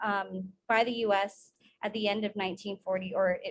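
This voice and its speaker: A woman with a Guam accent speaks at a moderate pace in a medium pitch. Her intonation is monotone and flat. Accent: Chamorro Guam English. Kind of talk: conference presentation. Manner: halting.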